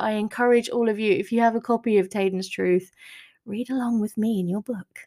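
With an ordinary speaking voice, a woman talks fairly high in pitch, her pitch varying in an ordinary way. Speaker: author podcaster. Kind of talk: solo podcast update chat. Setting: home recording. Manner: chatty, casual, warm.

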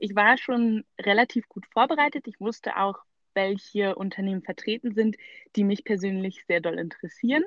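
A woman speaks at a medium pitch and a moderate pace with ordinary pitch variation. Hers is an unremarkable speaking voice. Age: 20s. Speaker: recent graduate, student. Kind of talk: interview.

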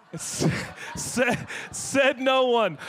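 Noticeable background noise sits behind a man with an American accent. He sounds animated, with lively intonation. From Seattle, US Pacific Northwest. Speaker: guest pastor. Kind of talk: sermon. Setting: church with live audience.

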